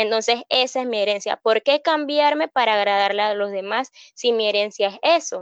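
A normal speaking voice at a moderate pace, dry and close with no echo, over a quiet background. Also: woman, fairly high pitch for a woman, ordinary pitch variation. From Panama, Colón province. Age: 20s. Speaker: hairstylist and beauty pageant contestant. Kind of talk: interview.

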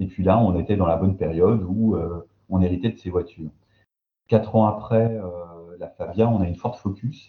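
At a moderate pace, a man with a very deep, low voice speaks with fairly even intonation. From eastern France, Belfort. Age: 30s. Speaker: sociologist. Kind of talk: casual interview. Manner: hesitant.

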